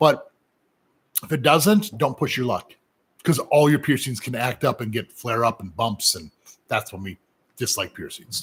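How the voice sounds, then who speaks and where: Pitch leaping across a very wide range, a somewhat breathy edge, long and frequent pauses, and big swings in loudness. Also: man, medium pitch for a man, moderate pace. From US Midwest, Minnesota. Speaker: professional piercer. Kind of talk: live Q&A. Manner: casual, halting with fillers.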